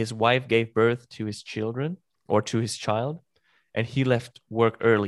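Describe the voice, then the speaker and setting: On a very clean recording with a silent background, a man with a German accent speaks at a fairly slow pace in a medium pitch with fairly even intonation. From Germany. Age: 20s. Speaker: podcast host. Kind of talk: casual chat. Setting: live stream.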